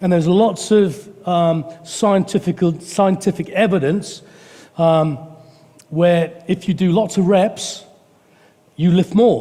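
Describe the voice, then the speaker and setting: Over noticeable background noise, a man speaks at a very slow pace with long, frequent pauses, a high pitch, fairly even intonation and very even loudness. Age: 60s. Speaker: preacher. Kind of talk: sermon. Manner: halting.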